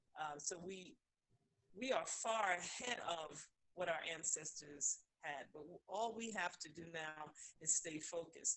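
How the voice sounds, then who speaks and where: A woman talks at a fairly slow pace in an ordinary speaking voice. Her pitch is fairly low, with ordinary variation. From New York. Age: 60s. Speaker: caller. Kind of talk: call-in discussion. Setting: phone call.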